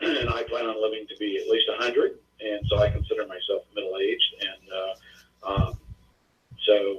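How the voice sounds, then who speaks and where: Long, frequent pauses interrupt delivery that otherwise keeps a moderate pace. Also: man. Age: 60s. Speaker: author and fitness guru. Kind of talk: interview. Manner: halting, many fillers.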